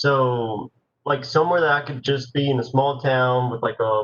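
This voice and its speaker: A man's somewhat breathy, monotone voice with flat intonation, medium pitch and a fairly quick pace. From Nicaragua. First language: Spanish. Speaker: university student. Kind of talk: panel Q&A.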